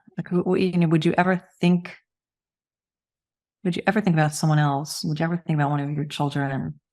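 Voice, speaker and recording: Here a woman talks at a very fast pace with a very deep, low pitch. Her intonation is fairly even, broken by long, frequent pauses. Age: 60s. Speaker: cancer support nonprofit executive and breast cancer survivor. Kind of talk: podcast interview.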